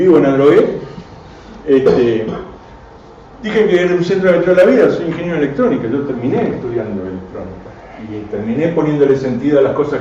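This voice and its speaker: Through noticeable background noise and audible room echo, a man with an Argentine accent speaks at a fairly quick pace with very wide pitch swings. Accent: Rioplatense Argentine Spanish. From Argentina, Buenos Aires and Córdoba. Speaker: radio amateur and engineer giving a talk. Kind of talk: technical lecture to a live audience. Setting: club venue with audience.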